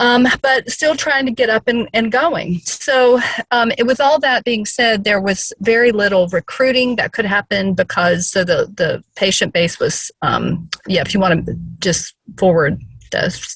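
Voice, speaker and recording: The sound is dry and close, with no echo. A Southern US accent comes at a fairly slow pace with very even loudness. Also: woman, lively intonation. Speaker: case presenter in a professional training session. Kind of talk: case presentation in an online training session.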